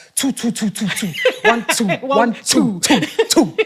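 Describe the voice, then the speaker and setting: A put-on character voice booms at a fairly high pitch. It moves at a fairly slow pace. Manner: repetitive mic-check counting.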